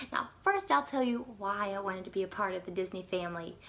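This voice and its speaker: It's a plain, everyday voice with an American accent. The intonation is lively. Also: woman. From US South, South Carolina. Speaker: former theme park character performer. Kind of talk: personal story monologue.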